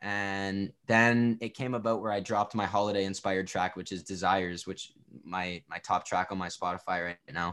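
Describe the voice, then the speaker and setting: In a Canadian accent, a man with a fairly low pitch talks in an unremarkable speaking voice at a moderate pace with fairly even intonation. The recording is very clean, with a silent background. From Ontario, Canada. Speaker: rapper and songwriter. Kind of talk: casual interview.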